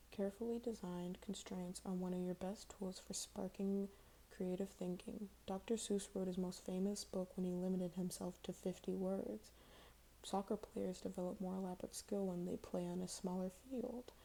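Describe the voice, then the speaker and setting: A woman whispers in a soft-spoken, somewhat breathy voice at a moderate pace. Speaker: ASMR content creator. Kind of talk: ASMR article reading. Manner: soft-spoken, whispery.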